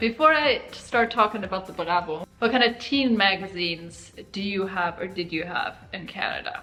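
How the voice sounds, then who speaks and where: With music in the background, a woman talks at a moderate pace with hardly any pauses, using lively intonation at a medium pitch. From Italy. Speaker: YouTuber. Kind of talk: casual chat.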